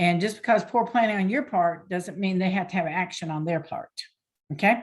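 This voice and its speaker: Somewhat breathy woman's voice with lively intonation, on a very clean recording with a silent background. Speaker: small business coach. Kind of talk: lecture. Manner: fast.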